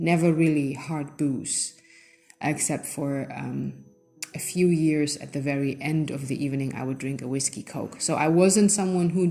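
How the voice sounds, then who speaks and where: At a moderate pace, the voice carries a non-native accent, a dark, mellow tone and fairly even intonation. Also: woman. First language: not English. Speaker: channel host giving personal testimony. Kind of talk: personal testimony. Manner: halting, with frequent self-corrections and fillers.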